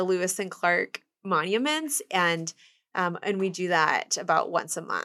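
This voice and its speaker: In a Midwestern US accent, a woman speaks at a fairly slow pace with a bright, sharp tone and medium pitch, the sound dry and close with no echo. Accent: US Midwest. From Kansas City, Kansas. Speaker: urban hiking tour business owner. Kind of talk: interview.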